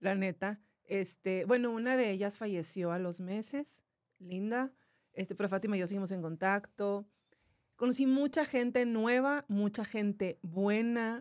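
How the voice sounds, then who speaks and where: A woman's medium-pitched voice moves at a moderate rate, its pitch varying in an ordinary way. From Monterrey, northern Mexico. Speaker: cancer survivor, content creator and voice-over artist. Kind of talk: testimony.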